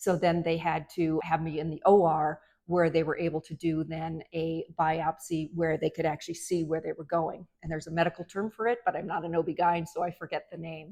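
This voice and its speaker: The voice has a dark, mellow tone and monotone, flat intonation, moving at a fairly quick pace with hardly any pauses. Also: woman, fairly low pitch for a woman. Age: 60s. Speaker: physician. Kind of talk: medical advice talk to camera.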